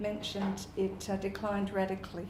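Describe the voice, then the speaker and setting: In an Australian accent, a woman talks at a medium pitch with monotone, flat intonation, audible room echo and noticeable background noise. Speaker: primary school language teacher. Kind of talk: conference talk.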